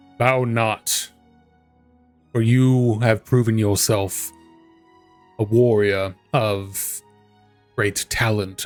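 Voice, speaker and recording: A man's booming put-on character voice at medium pitch, very slow and flat in monotone, with long, frequent pauses and faint music in the background. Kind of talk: archaic, formal. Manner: commanding, grand, with a thunderous chuckle.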